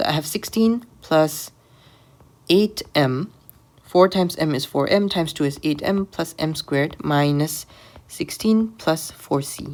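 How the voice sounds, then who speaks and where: A woman talks at a fairly slow pace, her very deep, low pitch showing ordinary variation. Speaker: maths tutor. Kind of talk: tutorial. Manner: halting.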